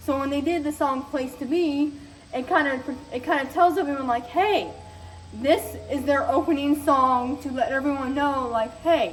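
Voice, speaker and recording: A woman speaks loud and at a high pitch. Noticeable background noise surrounds her voice. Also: ordinary pitch variation, moderate pace. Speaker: youtuber reviewing soundtracks. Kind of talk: casual monologue.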